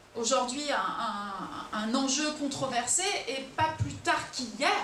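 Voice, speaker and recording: Noticeable background noise and audible room echo around very slow speech. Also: woman, high pitch for a woman, lively intonation. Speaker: lecturer on Ukraine. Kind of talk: public lecture. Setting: auditorium with audience. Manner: hesitant, many fillers.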